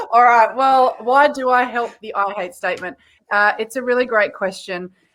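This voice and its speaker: With an Australian accent, a woman talks at a moderate pace in a high voice with ordinary pitch variation. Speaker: content marketing coach. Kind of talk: podcast interview.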